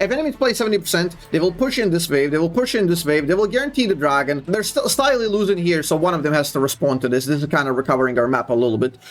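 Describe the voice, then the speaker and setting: A man with a non-native accent speaks in a high voice at a very fast pace with hardly any pauses. His pitch swings very widely while his loudness stays very even, with noticeable background noise. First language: not English. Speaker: gaming streamer. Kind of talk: gameplay commentary. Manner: casual, hesitant with fillers.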